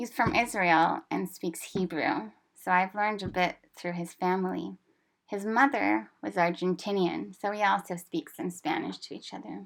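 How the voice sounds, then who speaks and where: A woman at a medium pitch speaks at a moderate pace with vocal fry and lively intonation, on a very clean recording with a silent background. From Canada. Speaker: language teacher. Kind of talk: personal narration.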